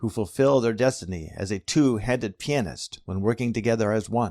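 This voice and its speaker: A man with an ordinary speaking voice, fairly low pitch, lively intonation and a moderate pace, in a dry, close sound with no echo on a very clean recording with a silent background. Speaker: preacher giving a sermon. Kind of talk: sermon delivery.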